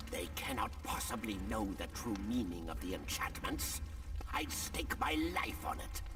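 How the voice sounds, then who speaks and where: A man's put-on character voice, very deep and low in pitch, at a moderate pace over loud background noise. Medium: machinima.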